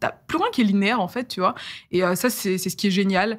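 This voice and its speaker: Talking at a very fast pace, a woman sounds animated, with a medium pitch and ordinary pitch variation. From France, Eure-et-Loir (Dreux). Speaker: YouTuber and storyteller. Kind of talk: casual interview. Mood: relaxed, reflective. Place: studio. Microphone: studio mic.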